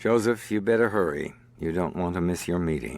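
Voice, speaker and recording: In a put-on character voice, a man speaks with a raspy, very deep, low pitch, lively intonation and a calm tone at a moderate pace. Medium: video game. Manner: calm, dry, sarcastic.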